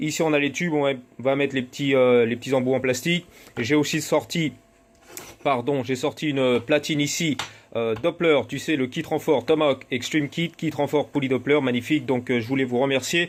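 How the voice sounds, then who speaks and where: A man talks in a fairly high pitch. His intonation stays fairly even. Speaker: moped parts seller and tuner. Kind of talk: casual workshop vlog. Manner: fast.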